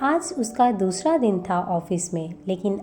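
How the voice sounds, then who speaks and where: Over noticeable background noise, a woman's pitch swings very widely. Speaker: voice-over artist. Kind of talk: romantic story narration.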